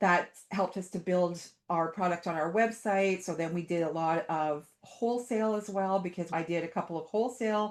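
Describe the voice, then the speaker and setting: A woman talks at a moderate pace in an ordinary speaking voice, her intonation fairly even. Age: 60s. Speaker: art teacher. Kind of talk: casual chat.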